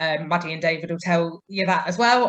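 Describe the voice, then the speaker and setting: A woman with a plain, everyday voice speaks at a medium pitch and fairly quick pace with ordinary pitch variation. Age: 30s. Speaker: mature student. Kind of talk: testimony.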